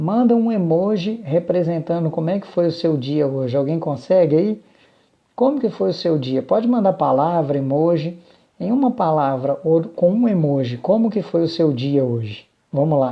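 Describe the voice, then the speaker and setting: Lively, high-pitched male speech at a moderate pace. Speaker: business consultant and live-stream host. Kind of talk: live stream talk to viewers. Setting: Instagram live stream. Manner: animated.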